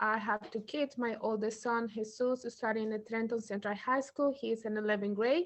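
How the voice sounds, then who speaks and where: With a Spanish accent and a fairly high pitch, a woman talks with hardly any pauses and fairly even intonation. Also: moderate pace. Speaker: parent. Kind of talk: workshop introduction.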